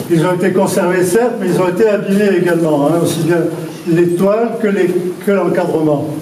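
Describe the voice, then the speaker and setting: Speaking with a strong southern French accent, this voice keeps a fairly even intonation and very even loudness, with audible room echo and noticeable background noise. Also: man, high pitch for a man, moderate pace. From southern France. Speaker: mayor. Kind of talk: public speech. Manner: unscripted, halting.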